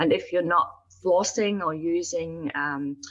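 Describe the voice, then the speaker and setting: A woman with a Northern Irish accent speaks fairly slowly at a fairly low pitch with ordinary pitch variation. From Northern Ireland (Belfast). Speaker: dentist. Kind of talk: interview. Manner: hesitant fillers.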